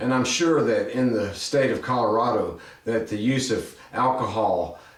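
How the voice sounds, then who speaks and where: Room echo can be heard around this man, along with a noticeable amount of background noise. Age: 60s. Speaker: podcast host. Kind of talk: opinion commentary.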